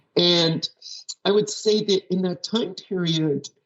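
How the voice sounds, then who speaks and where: A woman's medium-pitched voice is somewhat breathy and carries lively intonation. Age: 60s. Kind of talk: interview.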